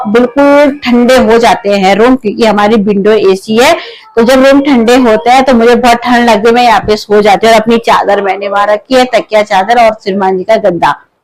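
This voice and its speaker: Against noticeable background noise, a woman with a fairly high pitch and ordinary pitch variation speaks at a very even loudness with hardly any pauses. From Uttarakhand. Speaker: vlogger. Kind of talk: casual home vlog. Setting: at home.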